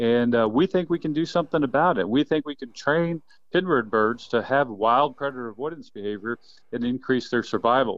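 A man speaks in a normal speaking voice at a medium pitch. His pace is fairly quick, with ordinary pitch variation. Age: 50s. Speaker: quail biologist. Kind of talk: casual interview.

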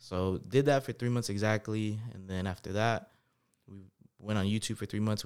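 Speaking in a normal speaking voice with an American accent, a man keeps a moderate pace at a fairly low pitch. The recording is very clean, with a silent background. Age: 20s. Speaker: entrepreneur, credit specialist. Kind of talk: casual interview.

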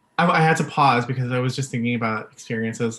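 On a very clean recording with a silent background, a man speaks at a medium pitch with ordinary pitch variation in an ordinary speaking voice. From Vancouver, Canada (born in the Philippines). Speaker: podcast co-host. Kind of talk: casual chat.

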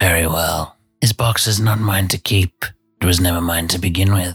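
In a put-on character voice, a man speaks with a very deep, low pitch and a raspy edge at a moderate pace. Faint music plays in the background. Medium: actual play. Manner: unhurried, patronizing, transactional.

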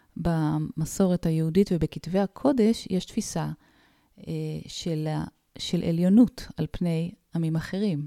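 On a very clean recording with a silent background, a woman with a fairly low pitch and a dark, mellow tone speaks at a very slow pace with long, frequent pauses, the sound dry and close with no echo. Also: ordinary pitch variation. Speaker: spiritual psychologist. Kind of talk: casual chat.

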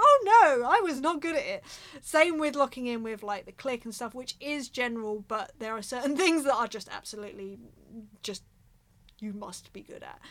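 Speaking at a moderate pace, a woman with an English accent uses a high, animated voice with lively intonation and big swings in loudness. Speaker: drummer and podcast host. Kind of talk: casual monologue.

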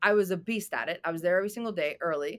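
In a normal speaking voice with ordinary pitch variation, someone talks at a fairly quick pace on a very clean recording with a silent background. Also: woman. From Boston, US (born in Albania). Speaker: real estate developer and coach. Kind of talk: interview. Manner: fast.

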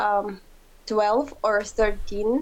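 Speaking with a Ukrainian accent, a woman uses a fairly high pitch and ordinary pitch variation. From Ukraine. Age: young. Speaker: interviewee. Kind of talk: interview. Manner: halting.

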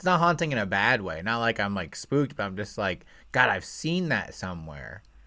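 Fairly quick man with an American accent, a bright, sharp tone, very wide pitch swings and vocal fry. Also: fairly low pitch for a man. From Indiana, near Louisville. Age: 20s. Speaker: podcast host, aspiring comedian. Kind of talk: casual chat. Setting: video call.

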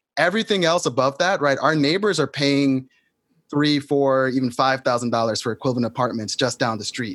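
Speaking fairly quickly with an American accent, a man has an unremarkable speaking voice at fairly high pitch. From New York City. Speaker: solidarity economy activist. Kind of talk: conversation between guests.

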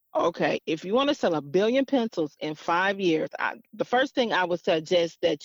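Hardly pausing, a woman with an American accent talks at a moderate pace in a medium pitch. The sound is dry and close, with no echo. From Detroit, Michigan. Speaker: business consultant. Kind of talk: interview. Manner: halting.

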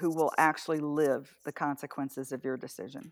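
In an American accent, a woman speaks with a very deep, low pitch. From US South. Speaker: campaign volunteer. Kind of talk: casual interview over remote call. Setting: remote call.

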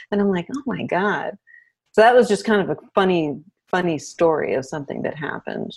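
Speaking at a fairly quick pace in an American accent, a woman at medium pitch uses lively intonation with vocal fry. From US, Arlington, Virginia (DC area). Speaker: destination wedding photographer. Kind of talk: casual interview chat.

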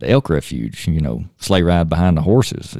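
A man with a Tennessee accent speaks at a fairly quick pace, his very deep, low pitch showing ordinary variation. His tone is dark and mellow, recorded dry and close with no echo. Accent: US Southern (Tennessee). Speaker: state park superintendent. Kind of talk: casual chat. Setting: studio.

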